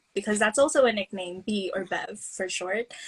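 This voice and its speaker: The woman's voice has a somewhat breathy quality. Her pitch is fairly high. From Philippines. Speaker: student on placement. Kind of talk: casual self-introduction. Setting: instagram live video stream.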